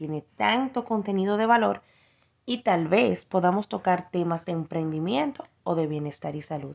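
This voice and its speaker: Against a quiet background, a woman at medium pitch speaks at a fairly slow pace with very wide pitch swings. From Dominican Republic. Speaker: entrepreneur. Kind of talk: prepared testimony.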